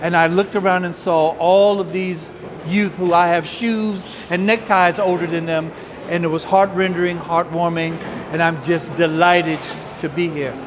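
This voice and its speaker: Over noticeable background noise and audible room echo, a man with a high pitch talks at a moderate pace in a monotone, flat intonation. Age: 70s. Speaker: community elder volunteer. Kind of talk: interview soundbite.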